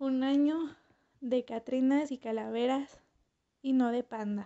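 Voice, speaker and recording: A woman with a high-pitched voice speaks at a very slow pace, keeping her intonation fairly even. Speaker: makeup artist and beauty vlogger. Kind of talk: tutorial voice-over narration.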